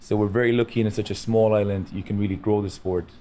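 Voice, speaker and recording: A man with a western Irish accent talks at a very fast pace in a dark, mellow tone, his fairly low pitch held monotone and flat. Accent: Irish, west of Ireland. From west of Ireland, rural. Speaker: boxing coach. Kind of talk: casual interview. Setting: studio with live audience.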